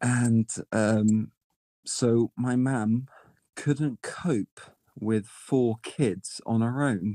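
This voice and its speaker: Pausing long and often, a man talks at a very slow pace with very even loudness, medium pitch and ordinary pitch variation. His tone is dark and mellow, and the sound is dry and close with no echo. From southern England, born in North Wales. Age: 20s. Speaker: streamer. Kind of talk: casual chat. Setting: online voice chat room.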